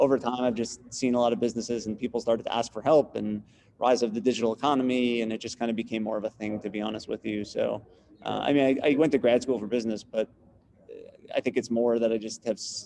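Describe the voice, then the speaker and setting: With a New York accent, a man talks at a very fast pace in a dark, mellow tone of medium pitch, his intonation flat and monotone. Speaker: business consultant, student. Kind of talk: class introductions on video call. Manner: direct.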